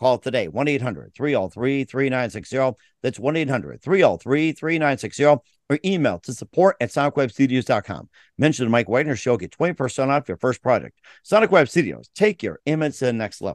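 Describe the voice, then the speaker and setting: A man's medium-pitched voice with vocal fry and lively intonation, at a moderate pace, in a dry, close sound with no echo and a quiet background. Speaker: podcast host. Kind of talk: interview, with sponsor reads.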